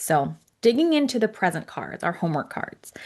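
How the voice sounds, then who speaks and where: A woman talks with vocal fry against a quiet background. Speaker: angel card reader. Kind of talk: tutorial. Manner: fast; casual, with many fillers.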